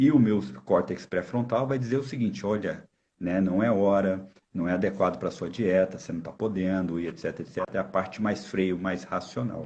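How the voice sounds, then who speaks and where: A man talks with a fairly low pitch and ordinary pitch variation. His tone is dark and mellow. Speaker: volleyball coach and university lecturer. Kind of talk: live stream interview. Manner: fast; halting, repeated false starts.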